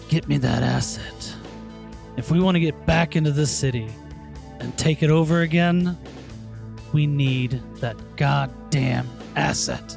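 Clear music plays behind a gruff, put-on character voice that moves at a moderate pace with long, frequent pauses. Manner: commanding, gruff.

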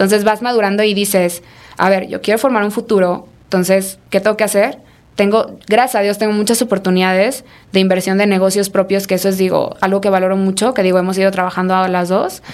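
A woman speaks at a fairly quick pace with a Mexican accent, her pitch medium. Her loudness stays very even and her intonation is flat and monotone. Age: 20s. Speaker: entrepreneur. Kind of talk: casual chat. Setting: studio.

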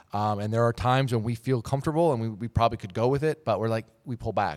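Speaking very fast with an American accent, a man uses a fairly low pitch and ordinary pitch variation on a very clean recording with a silent background. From Minnesota, Twin Cities. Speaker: motorsports journalist. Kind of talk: casual chat.

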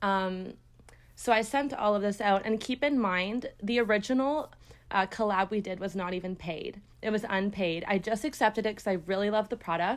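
In a Canadian accent, a woman with a plain, everyday voice talks at a moderate pace in a medium pitch with ordinary pitch variation. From Ontario, Canada (Brampton, near Toronto). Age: 20s. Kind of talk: casual interview chat.

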